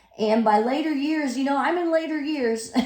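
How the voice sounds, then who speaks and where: This woman's intonation is lively. Audible room echo can be heard. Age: 60s. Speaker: fitness instructor. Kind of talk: tutorial. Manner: casual.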